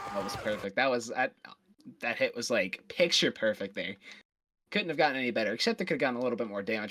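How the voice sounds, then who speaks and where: In a very clean recording with a silent background, a man speaks very fast with a bright, sharp tone. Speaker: esports co-caster. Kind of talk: live commentary.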